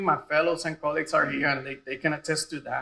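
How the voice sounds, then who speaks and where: A man talks at a very fast pace. He has a Puerto Rican accent. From Puerto Rico. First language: Spanish. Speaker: radiology residency program director. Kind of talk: graduation speech. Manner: casual, joking.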